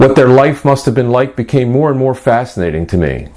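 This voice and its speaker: A man's plain, everyday voice at a medium pitch, fairly quick in pace, with lively intonation. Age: 60s. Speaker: author. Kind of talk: scripted narration; reading aloud.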